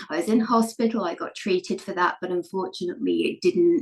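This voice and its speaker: A woman with a British accent at a moderate pace. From England. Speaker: elite wheelchair racer and entrepreneur. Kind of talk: podcast interview, personal story.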